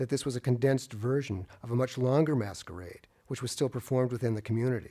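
This man talks very fast, his medium-pitched voice carrying a dark, mellow tone. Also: quiet background. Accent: American. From Boston, Massachusetts. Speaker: art critic; lecturer. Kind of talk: lecture; audience Q&A. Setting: stage with audience. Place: hall. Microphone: podium.

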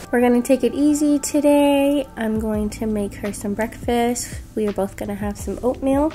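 Faint music plays in the background. A woman with a high pitch speaks at a fairly slow pace. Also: ordinary pitch variation. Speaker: family vlogger. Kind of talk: casual vlog chat. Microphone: phone near.

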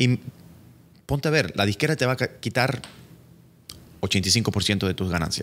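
A man's speech runs at a fairly slow pace, his pitch varying in an ordinary way. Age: 40s. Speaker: entertainment lawyer. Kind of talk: casual chat. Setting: studio. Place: office. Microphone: studio mic.

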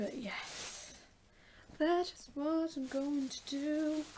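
This is a woman speaking. Her pitch is high. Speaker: vlogger. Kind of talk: casual vlog. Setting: in a car.

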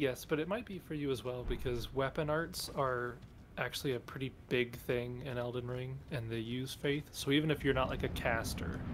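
With an unremarkable speaking voice, a man talks at a moderate pace and medium pitch, varying his pitch in an ordinary way. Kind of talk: casual gameplay chat. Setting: voice chat line.

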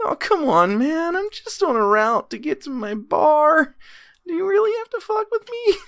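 In a put-on character voice, a man speaks at a moderate pace with extremely high pitch and very wide pitch swings, on a very clean recording with a silent background. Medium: actual play. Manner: exasperated, whiny, casual.

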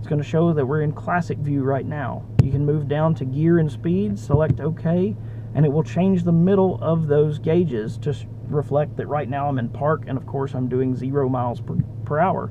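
Over clear background noise, a man talks at a fairly high pitch with fairly even intonation. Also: moderate pace.

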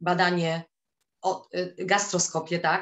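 A woman speaks at a very slow pace. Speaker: teacher and swimming instructor; teacher, swimming instructor. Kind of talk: testimony. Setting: video call. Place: home room. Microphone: webcam.

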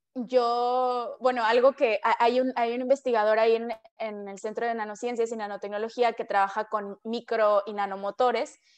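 Against a quiet background, a woman speaks at a fairly high pitch. It is an ordinary speaking voice. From Mexico, Culiacán, Sinaloa; Sinaloa, Mexico. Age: 20s. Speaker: PhD student, scientist; interviewee. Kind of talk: interview. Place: home room. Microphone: video call.

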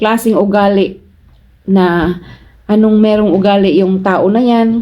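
This woman's voice is medium in pitch with a dark, mellow tone. She speaks at a fairly slow pace with fairly even intonation. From Philippines, Cebu. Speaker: vlogger, overseas Filipino worker. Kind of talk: casual vlog advice. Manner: chatty, laughs often.

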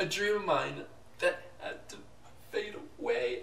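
A man's put-on character voice, fairly high-pitched and fairly bright, with vocal fry, lively intonation, a fairly slow pace and audible room echo.

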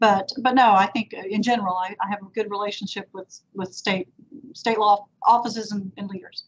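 A woman's somewhat breathy, monotone voice with flat intonation, in a Texan accent at medium pitch and a moderate pace, with big swings in loudness over light background noise. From Victoria, Texas; Texas. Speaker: district attorney; interviewee. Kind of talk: panel interview. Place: office. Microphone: video call.

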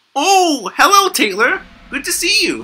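A cartoonish character voice, extremely high in pitch, at a moderate pace. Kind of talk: anime voice. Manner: cutesy, high-pitched.

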